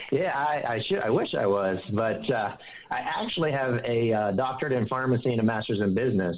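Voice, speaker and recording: A man's medium-pitched voice with a slight Southern US accent, fairly quick, with ordinary pitch variation over noticeable background noise. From Pittsburgh area, US. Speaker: financial advisor. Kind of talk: interview.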